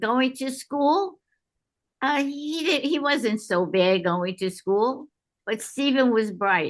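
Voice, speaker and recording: A woman with a New York accent is speaking. Her pace is very slow. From New York City. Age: 90s. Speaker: game creator's grandmother. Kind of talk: interview. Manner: halting.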